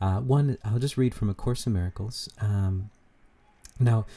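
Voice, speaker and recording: At a moderate pace, a man talks in a dark, mellow, somewhat breathy voice, fairly low in pitch with ordinary variation. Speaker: spiritual channeler. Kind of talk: spiritual talk. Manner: hesitant, many fillers.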